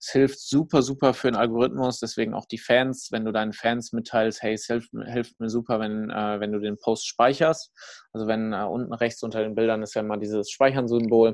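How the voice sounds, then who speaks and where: A man speaks in a normal speaking voice at a moderate pace and medium pitch. His intonation is fairly even, over a quiet background. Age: 20s. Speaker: fitness startup founder and speaker. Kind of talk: casual interview chat.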